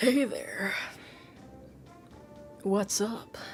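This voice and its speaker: Over clear background music, a female-sounding voice performs a put-on character voice. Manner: putting on a tough act.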